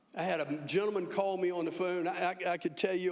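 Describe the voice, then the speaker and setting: A man's high voice with fairly even intonation amid noticeable background noise. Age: 70s. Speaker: county official. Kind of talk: speech at a public meeting. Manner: halting, repeats words.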